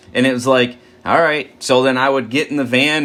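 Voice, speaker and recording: A man speaks at a medium pitch. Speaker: twelve-step study leader. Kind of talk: recovery step study talk. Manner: animated.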